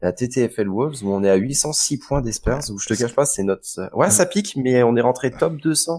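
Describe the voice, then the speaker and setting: With a Breton accent, a man at a medium pitch talks at a fairly quick pace with hardly any pauses, using lively intonation and a dark, mellow tone on a very clean recording with a silent background. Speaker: fantasy basketball podcast co-host. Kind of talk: casual podcast chat. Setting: live stream.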